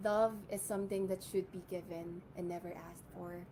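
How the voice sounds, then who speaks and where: A woman speaks at a medium pitch in a dark, mellow, somewhat breathy tone with monotone, flat intonation. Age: 20s. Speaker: beauty pageant contestant. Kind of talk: pageant introduction speech.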